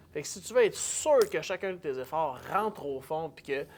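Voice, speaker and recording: A man speaks in a Quebec accent on a very clean recording with a silent background. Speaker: public speaker. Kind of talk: casual chat. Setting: event hall.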